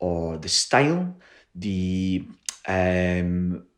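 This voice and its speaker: This man speaks in a Glaswegian accent with a very deep, low pitch. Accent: Glaswegian Scottish. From Scotland, Glasgow. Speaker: playwright. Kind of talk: online workshop. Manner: casual, hesitant with fillers.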